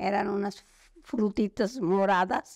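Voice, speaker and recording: A woman speaks at a very slow pace. Her pitch is medium, and the sound is dry and close with no echo. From Mexico, San Miguel de Allende. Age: 80s+. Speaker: retired language teacher. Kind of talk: oral history interview. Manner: halting.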